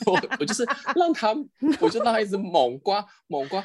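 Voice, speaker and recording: Very wide pitch swings from a man at a fairly quick pace. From Taiwan. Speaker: podcast guest, contestant sharing travel stories. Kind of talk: casual chat.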